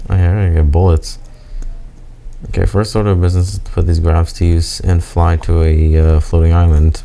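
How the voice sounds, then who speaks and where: Over noticeable background noise, a man mumbles at a fairly quick pace with a very deep, low pitch and monotone, flat intonation. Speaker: gamer. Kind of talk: gameplay commentary. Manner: mumbling.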